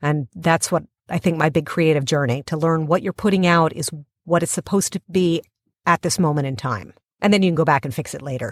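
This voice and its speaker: An ordinary speaking voice from a woman with an American accent, fairly low in pitch with ordinary pitch variation, at a fairly quick pace, in a very clean recording with a silent background and a dry, close sound with no echo. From Pennsylvania, US. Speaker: podcast producer, writer and actor. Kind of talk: interview conversation.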